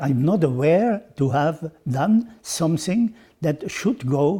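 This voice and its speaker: Very slow and somewhat breathy, a man speaks with a dark, mellow tone. His intonation is lively. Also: very clean recording, silent background. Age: 80s+. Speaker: former sports federation president. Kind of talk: interview answer. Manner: hesitant, halting.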